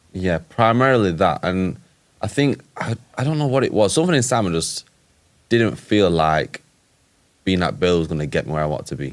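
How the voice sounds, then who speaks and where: A man's very deep, low voice with very wide pitch swings, a fairly quick pace and long, frequent pauses. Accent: Yorkshire. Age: 20s. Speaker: entrepreneur and boxer. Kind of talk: casual chat.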